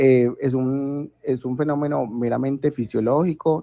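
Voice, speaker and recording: Fairly slow and fairly even in intonation, a man speaks at a medium pitch in a dark, mellow tone, with a dry, close sound and no echo. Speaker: medical student tutor. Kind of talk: lecture.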